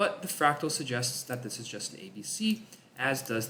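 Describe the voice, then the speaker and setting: Noticeable background noise surrounds a man speaking at a moderate pace. His fairly high pitch moves in very wide swings. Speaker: crypto chart analyst. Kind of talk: market analysis commentary.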